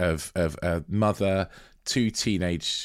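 On a very clean recording with a silent background, a man speaks in a British accent with ordinary pitch variation. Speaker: podcast co-host. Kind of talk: casual chat, film review.

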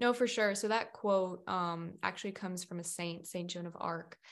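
A woman with a normal speaking voice and an American accent talks at a moderate pace and a fairly low pitch with fairly even intonation against a quiet background. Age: 20s. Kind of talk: casual interview chat. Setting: video call.

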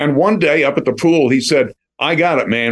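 A man with an American accent and an unremarkable speaking voice talks fairly quickly with ordinary pitch variation. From Philadelphia. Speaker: actor and voiceover artist. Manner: polished, warm, storytelling.

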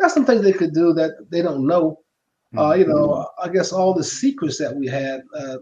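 A man with a Southern US accent speaks at a moderate pace, his high pitch paired with a dark, mellow tone and ordinary pitch variation. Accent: Southern US (Georgia). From US South, Macon, Georgia. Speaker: retired football player. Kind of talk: interview.

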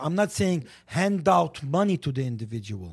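With an Armenian accent, a man speaks at a fairly high pitch and a moderate pace. His voice is somewhat breathy and swings very widely in pitch. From Lebanon. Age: 60s. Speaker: community media personality and commentator. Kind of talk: casual talk show discussion. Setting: studio. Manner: outspoken.

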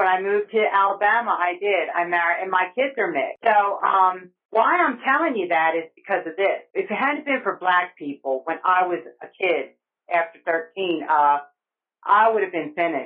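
In an American accent, a woman with an ordinary speaking voice talks at a moderate pace, her medium pitch carried by lively intonation. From New Jersey, near Woodbury. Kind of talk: testimony. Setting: phone call.

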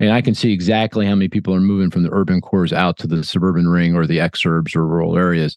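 Against a quiet background, a man with a very deep, low pitch talks very fast with hardly any pauses, fairly even intonation, and very even loudness. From Philadelphia. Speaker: economist. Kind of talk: interview. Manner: halting, many fillers.

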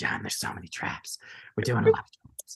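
In a put-on character voice, a man whispers at a fairly quick pace. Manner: excited, frantic.

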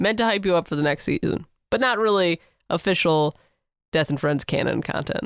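With vocal fry and lively intonation, a woman talks at a fairly quick pace and a fairly low pitch. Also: very clean recording, silent background.

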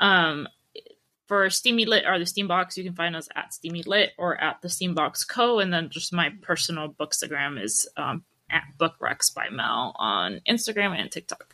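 This woman's voice sits fairly low, with vocal fry and a bright, sharp tone. She talks at a moderate pace with lively intonation. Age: 30s. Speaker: book event founder. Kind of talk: casual chat.

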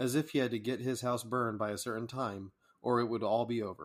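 An ordinary speaking voice moves at a fairly quick pace with fairly even intonation. The recording is very clean, with a silent background. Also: man. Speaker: podcast host reading a poem. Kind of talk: poetry reading, read aloud as a campfire tale. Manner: measured, calm, storytelling cadence.

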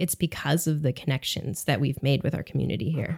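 Speaking at a fairly quick pace, a woman has an American accent. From upstate New York, US. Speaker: language teacher. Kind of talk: casual interview.

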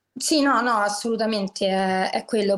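With music in the background, a woman in a Roman accent talks at a moderate pace and a medium pitch. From Rome, Italy (working-class neighbourhood). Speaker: podcast guest. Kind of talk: casual chat.

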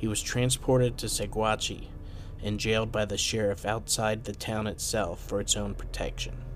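Music plays behind a man who talks at a moderate tempo. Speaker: podcast host. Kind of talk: true-crime narration. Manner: steady, measured storytelling; serious, dramatic.

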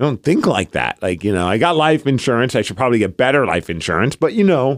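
A man with vocal fry speaks very fast at a medium pitch, with very wide pitch swings. The recording is very clean with a silent background and a dry, close sound with no echo. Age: 40s. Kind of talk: casual chat.

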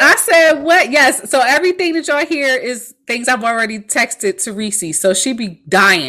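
A woman's high-pitched, animated voice with a bright, sharp tone and very wide pitch swings, at a moderate pace with hardly any pauses. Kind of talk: casual chat. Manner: animated, chatty.

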